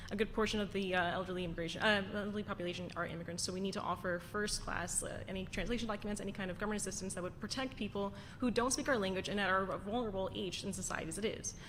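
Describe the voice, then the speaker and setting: A woman with an American accent speaks very fast, with hardly any pauses, at medium pitch and with fairly even intonation. Music plays in the background, and room echo is audible. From Queens, New York City. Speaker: city council candidate. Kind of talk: candidate forum answer. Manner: halting.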